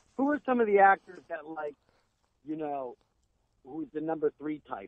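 An unremarkable speaking voice from a man with a fairly high pitch, lively intonation and a moderate pace. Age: 40s. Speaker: actor and podcast co-host. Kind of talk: casual chat.

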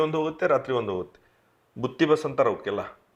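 Against a quiet background, a man with a North Karnataka accent speaks at a fairly high pitch. His intonation is lively, with vocal fry. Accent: north Karnataka Kannada. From northern Karnataka, Bijapur district; Karnataka, India. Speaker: eye surgeon; guest. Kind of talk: interview. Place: studio. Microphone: lapel.

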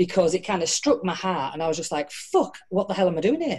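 The voice has a dark, mellow tone and lively intonation over a quiet background. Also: woman. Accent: northern English. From northern England. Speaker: entrepreneur and motivational speaker; motivational speaker. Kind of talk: casual interview. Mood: candid, reflective. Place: home room. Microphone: video call.

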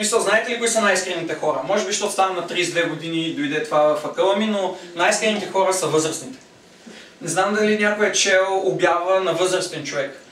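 Someone speaks at a fairly quick pace with ordinary pitch variation, with light background noise and audible room echo. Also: man, high pitch for a man. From Bulgaria. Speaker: stand-up comedian. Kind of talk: stand-up comedy. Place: home room. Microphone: camera far.

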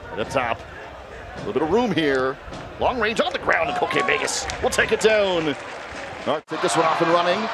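This man has a high pitch and lively intonation. He speaks at a moderate pace over noticeable background noise. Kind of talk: live sports commentary (match play-by-play). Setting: stadium broadcast.

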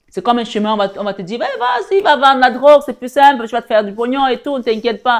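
A woman with high pitch talks at a fairly quick pace. Her pitch variation is ordinary, and the background is quiet. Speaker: spiritual guide and tarot reader. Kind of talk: sermon-like preaching with prayer and exhortation. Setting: online video, live-stream. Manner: fervent, exhortative, repeating phrases for emphasis; warm, intimate, addressing viewers as 'belles âmes'. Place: home room.

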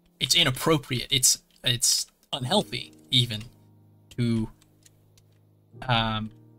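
A man with a bright, sharp tone and medium pitch speaks at a very slow pace, leaving long, frequent pauses. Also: ordinary pitch variation. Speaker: streamer. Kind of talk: casual chat. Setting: live stream. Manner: harsh. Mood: reflective, thoughtful. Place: home room. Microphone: headset.

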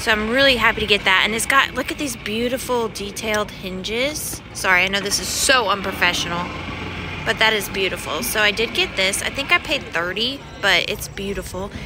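There is noticeable background noise as a woman talks at a fairly quick pace. The sound is dry, with no echo. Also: ordinary pitch variation. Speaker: vintage reseller vlogger. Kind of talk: casual vlog chat. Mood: excited, delighted. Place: market. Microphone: phone near.

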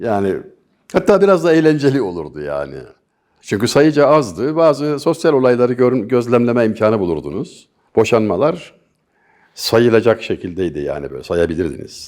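At a moderate pace, a man of medium pitch talks with vocal fry and very wide swings in pitch. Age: 60s. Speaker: poet and commentator. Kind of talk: interview.

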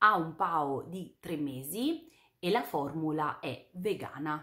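A woman speaks very slowly with very wide swings in pitch. Behind her, the background stays quiet. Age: 30s. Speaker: beauty YouTuber. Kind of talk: product review vlog. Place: home room.

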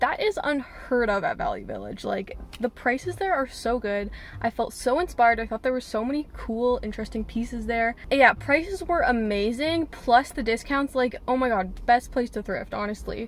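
Her voice is high in pitch and the sound is dry with no echo. The woman keeps a moderate pace with hardly any pauses. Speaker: thrift vlogger. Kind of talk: casual vlog chat. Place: car. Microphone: phone near.

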